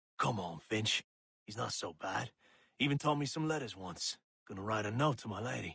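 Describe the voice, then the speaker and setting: Using a raspy put-on character voice, a man speaks at a moderate pace with lively intonation and medium pitch, in a dry, close sound with no echo. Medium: video game.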